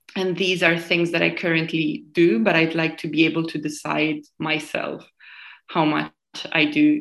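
A woman's fairly low voice with vocal fry, monotone, flat intonation, and a fairly slow pace. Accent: Italian. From Italy, near Modena and Bologna. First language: Italian. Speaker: podcast guest. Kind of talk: casual chat. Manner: nervous about speaking English.

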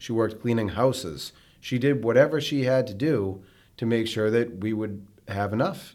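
At a moderate pace, a man with an American accent speaks in a plain, everyday voice, medium in pitch with ordinary variation. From Massachusetts (North Andover). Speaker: mortgage company owner and podcast host. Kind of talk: casual chat.

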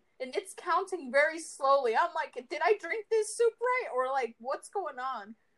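An animated woman speaks at an extremely high pitch with very wide pitch swings, a moderate pace and hardly any pauses, in a dry, close sound with no echo. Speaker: podcast host. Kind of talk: casual chat. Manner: animated, laughing often.

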